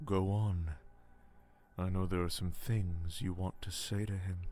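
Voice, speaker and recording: A man puts on a character voice with a very deep, low pitch. His pace is moderate. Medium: video game. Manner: soft, calm, manipulative.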